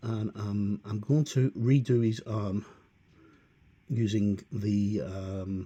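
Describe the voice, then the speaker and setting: The voice is dark, mellow and somewhat breathy. It moves at a very slow pace with ordinary pitch variation. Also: man, fairly low pitch for a man. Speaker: miniature painter. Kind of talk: painting tutorial talk. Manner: hesitant, many fillers.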